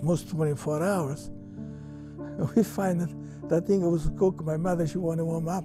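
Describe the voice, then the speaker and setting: A man speaks with an Italian accent. There is music in the background. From Ceccano, Italy. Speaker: immigrant. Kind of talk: interview answer.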